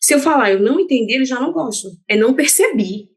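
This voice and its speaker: A woman's high voice with a northeastern Brazilian accent, very wide pitch swings and a moderate pace. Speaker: dentist. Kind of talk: casual chat.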